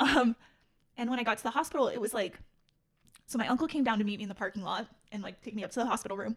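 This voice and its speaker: A somewhat breathy woman speaks at a very fast pace, breaking it up with long, frequent pauses, while her pitch varies in an ordinary way. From Utah, Salt Lake City. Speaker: podcast guest sharing life story. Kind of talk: personal testimony interview. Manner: hesitant, many fillers.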